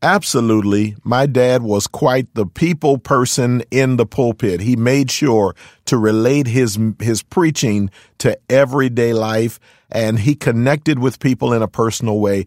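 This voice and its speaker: With a plain, everyday voice, a man speaks at a moderate pace in a medium pitch with ordinary pitch variation and very even loudness, on a very clean recording with a silent background and a dry, close sound with no echo. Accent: American. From Philadelphia, US. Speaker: pastor. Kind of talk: interview. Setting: studio.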